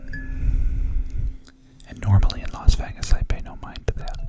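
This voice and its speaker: A man whispering with an American accent, music playing in the background. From New York. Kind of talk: ASMR whispered story time for sleep and relaxation. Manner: soft-spoken, whispering.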